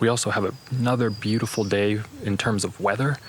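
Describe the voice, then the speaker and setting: A man speaks with a fairly low pitch and fairly even intonation over noticeable background noise. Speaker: hiking vlogger. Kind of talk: vlog narration. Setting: outdoors.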